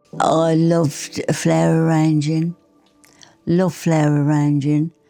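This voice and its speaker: A woman speaks very slowly with a very deep, low pitch and monotone, flat intonation. Music plays behind her. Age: 80s+. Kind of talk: interview answer. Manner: quiet, conversational.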